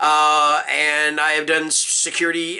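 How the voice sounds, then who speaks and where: With an American accent, a man speaks in a fairly high voice with a bright, sharp tone. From US South. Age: 50s. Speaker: book reviewer, security guard. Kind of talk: casual vlog monologue. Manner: hesitant, many fillers.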